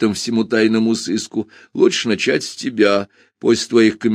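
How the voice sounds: Quiet surroundings behind a natural reading voice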